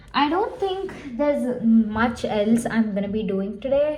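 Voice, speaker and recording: Against noticeable background noise, a woman talks fairly slowly at fairly high pitch. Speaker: book vlogger. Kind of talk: casual vlog. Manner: casual, filler-heavy.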